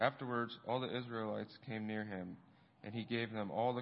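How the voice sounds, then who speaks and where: A man with a plain, everyday voice, fairly low in pitch, at a moderate pace. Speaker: scripture reader. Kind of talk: reading aloud.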